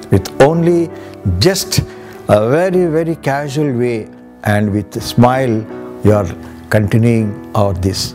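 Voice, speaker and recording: Music plays in the background as a man speaks at a fairly slow pace with long, frequent pauses. His pitch swings very widely. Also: medium pitch for a man. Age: old. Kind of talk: interview answer.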